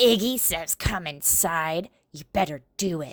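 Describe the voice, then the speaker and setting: The speaker growls in a put-on character voice at a fairly slow pace. The recording is very clean, with a silent background. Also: female-sounding voice, fairly low pitch for a woman. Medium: read story. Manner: talks out of the side of her mouth, ungrammatical.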